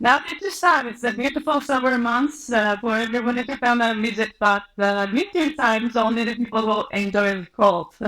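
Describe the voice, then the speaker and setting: A woman's fairly high-pitched voice with a bright, sharp tone and a non-native accent, with hardly any pauses. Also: ordinary pitch variation, moderate pace. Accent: foreign. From Turkey, Istanbul. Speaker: biotech CEO. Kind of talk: interview. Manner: halting, many fillers.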